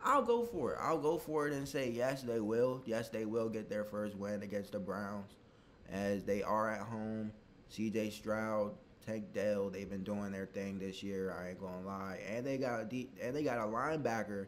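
This man has a fairly low pitch and speaks at a moderate pace with ordinary pitch variation over light background noise. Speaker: sports fan youtuber. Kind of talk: casual predictions commentary. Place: home room. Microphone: webcam.

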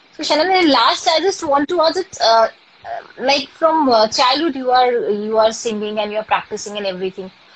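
Her voice high and sweeping through very wide pitch swings, a woman speaks with an Indian accent. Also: moderate pace. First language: Hindi. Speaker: live stream host. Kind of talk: casual live interview. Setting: live video call. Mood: cheerful, friendly. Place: home room. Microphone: phone near.

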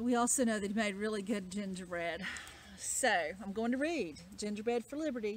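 The speaker uses an unforced reading voice. Pitch variation is ordinary.

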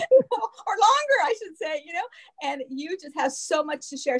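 Music plays in the background as a woman speaks at a fairly quick pace. Her pitch swings very widely. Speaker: show host. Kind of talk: interview wrap-up. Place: home room. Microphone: video call.

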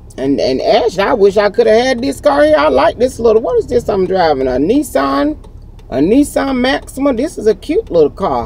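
Over light background noise and with a dry sound with no echo, a woman talks at a moderate pace while her pitch swings very widely. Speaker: vlogger. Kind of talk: casual vlog chat. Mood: warm, thankful, excited. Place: car. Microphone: phone near.

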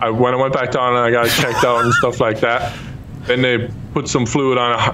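A man with an Irish accent speaks at a medium pitch and a fairly quick pace, his intonation flat and monotone over light background noise. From Ireland. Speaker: YouTube gamer. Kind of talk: casual chat. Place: home room. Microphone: studio mic.

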